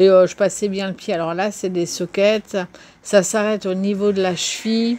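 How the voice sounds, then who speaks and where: A woman talks at a medium pitch, her intonation monotone and flat. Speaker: YouTube vlogger on knitting and reading. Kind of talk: casual vlog talk to camera. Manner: hesitant, many fillers; slower than usual, halting.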